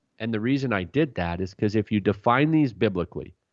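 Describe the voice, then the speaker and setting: He talks at a moderate pace, his pitch medium and varying in an ordinary way. This man has an unremarkable speaking voice. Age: 30s. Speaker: pastor and author. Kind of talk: radio interview. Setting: radio program.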